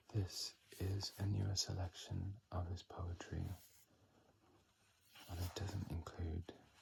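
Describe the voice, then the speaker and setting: Calm in tone, a man with a very deep, low, somewhat breathy voice speaks in a monotone, flat intonation at a very slow pace with long, frequent pauses. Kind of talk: ASMR poetry reading. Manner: soft-spoken, whispered, calm.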